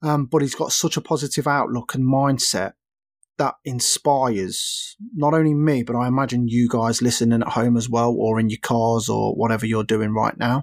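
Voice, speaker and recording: In a very clean recording with a silent background, a man with an English accent talks at a moderate pace, his medium-pitched voice fairly even in intonation. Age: 30s. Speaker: podcast host. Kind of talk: casual solo chat.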